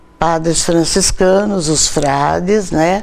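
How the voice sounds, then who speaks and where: A woman speaks at a very slow pace, her voice carrying audible room echo amid noticeable background noise. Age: 80s+. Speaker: catechist and book author. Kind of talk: TV interview.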